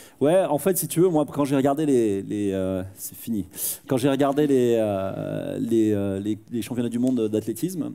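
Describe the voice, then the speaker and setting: A man speaks in a medium-pitched voice with a dark, mellow tone. His pace is moderate and his pitch variation ordinary. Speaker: conference speaker and professional actor. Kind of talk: interactive conference talk with Q&A. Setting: stage with audience. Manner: animated; loud.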